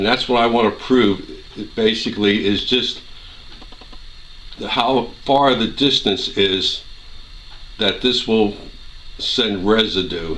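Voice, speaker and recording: A man speaks at a very slow pace and medium pitch, with fairly even intonation and long, frequent pauses. Audible room echo and noticeable background noise fill the recording. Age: 60s. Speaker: gun owner doing a residue test. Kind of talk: tutorial.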